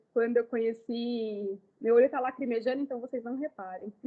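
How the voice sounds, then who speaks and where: This woman speaks at a high pitch. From Brazil, Ribeirão Preto (São Paulo state). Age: 30s. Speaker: makeup artist. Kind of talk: lecture. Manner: casual.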